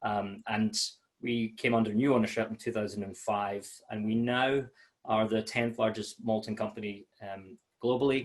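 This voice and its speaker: Here a man speaks in a Scottish accent at a medium pitch. His moderate pace pairs with a monotone, flat intonation. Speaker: malt sales manager. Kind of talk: webinar presentation. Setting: home office, online webinar. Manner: many fillers and hesitations.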